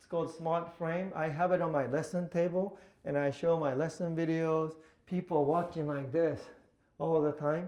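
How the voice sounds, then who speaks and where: A man speaks with a Japanese accent. His pitch is high. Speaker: pool instructor. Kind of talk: workshop presentation. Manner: halting.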